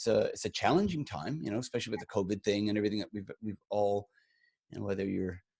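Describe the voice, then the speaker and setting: Recorded dry and close with no echo, a man speaks at a very fast pace with ordinary pitch variation. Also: fairly low pitch for a man. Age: 50s. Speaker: podcast co-host, entrepreneur. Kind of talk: casual chat. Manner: halting, many repeated words.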